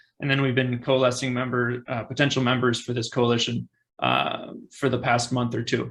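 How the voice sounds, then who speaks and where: A man speaks at a moderate pace with a creaky vocal fry. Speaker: campaign organizer. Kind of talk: presentation in online meeting. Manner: hesitant, many fillers.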